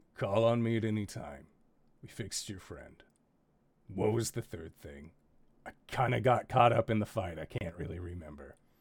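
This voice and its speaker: A man's raspy, put-on character voice at a fairly low pitch and a moderate pace, with long, frequent pauses. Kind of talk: tough-guy bar brawler talk. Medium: actual play. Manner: gruff, blunt, casual.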